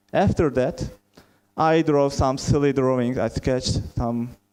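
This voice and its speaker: With a Turkish accent and a dark, mellow tone, the speaker keeps a moderate pace and ordinary pitch variation. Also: man. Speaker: software testing lead. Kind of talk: conference talk.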